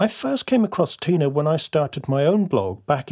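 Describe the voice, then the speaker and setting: A somewhat breathy man with a fairly high pitch speaks at a moderate pace with lively intonation, in a very clean recording with a silent background and a dry, close sound with no echo. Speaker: podcast host and creative coach. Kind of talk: podcast intro and interview.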